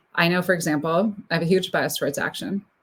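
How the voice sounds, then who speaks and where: At a fairly quick pace, a woman with a fairly low pitch and ordinary pitch variation sounds somewhat breathy in a very clean recording with a silent background. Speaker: speaker coach and consultant. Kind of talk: panel discussion. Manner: fast.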